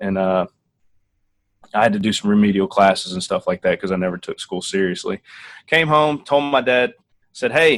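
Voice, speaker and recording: Recorded dry and close with no echo, a man with a strong Tennessee accent talks at a moderate pace in a medium pitch, his pitch swinging very widely. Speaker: Air Force officer. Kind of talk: interview.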